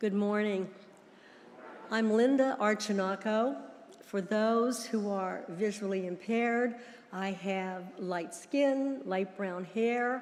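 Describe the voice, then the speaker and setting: A woman with an American accent speaks at a very slow pace. Her medium pitch shows ordinary variation, and audible room echo surrounds her. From US, Pittsburgh area. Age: 80s+. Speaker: church member. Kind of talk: testimony. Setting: church.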